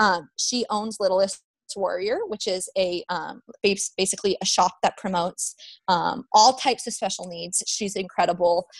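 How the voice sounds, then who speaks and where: Speaking with an American accent, a woman keeps a medium pitch, fairly even intonation and a moderate pace. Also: dry, close sound with no echo. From Nevada, US. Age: 20s. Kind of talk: interview. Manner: hesitant, many fillers.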